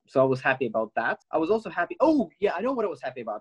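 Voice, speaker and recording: Recorded with a dry, close sound and no echo, a man speaks at a very fast pace. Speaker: social media creator and researcher. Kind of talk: casual chat. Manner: halting.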